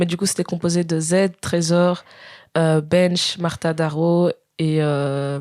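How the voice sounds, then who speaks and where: In a fairly low pitch, a woman speaks with monotone, flat intonation. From Belgium (Spa, Wallonia). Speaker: singer. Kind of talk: casual chat.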